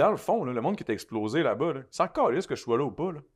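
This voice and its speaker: Speaking very fast in a Quebec accent, a man's voice makes very wide pitch swings. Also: quiet background. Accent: Québécois French. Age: 30s. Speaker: influencer and recording artist. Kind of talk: casual interview chat. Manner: fast with frequent repetitions.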